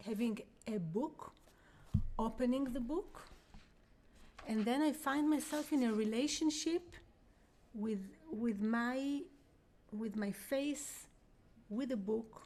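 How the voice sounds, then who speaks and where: A woman with a high voice and a dark, mellow tone speaks in an Israeli accent. Her pace is very slow, with long, frequent pauses. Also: lively intonation. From Israel, Jerusalem. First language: Hebrew. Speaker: vocalist and spiritual teacher. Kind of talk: guided workshop talk. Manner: halting. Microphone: too quiet.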